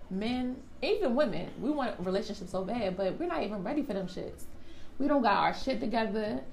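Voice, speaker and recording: Over noticeable background noise, a woman talks at a fairly quick pace. Her pitch is fairly high, and her intonation is lively. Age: 20s. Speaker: podcast co-host. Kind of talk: casual chat.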